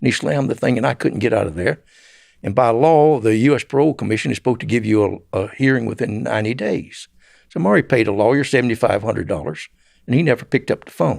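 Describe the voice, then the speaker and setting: With a Southern US accent, a man talks at a very fast pace in a medium-pitched voice with vocal fry and lively intonation, on a very clean recording with a silent background. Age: 70s. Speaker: former drug smuggler. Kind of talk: interview storytelling. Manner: halting.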